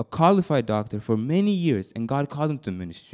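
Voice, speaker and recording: A man talks at a fairly quick pace. His tone is animated, and his pitch swings very widely. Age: 20s. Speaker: youth preacher. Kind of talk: sermon.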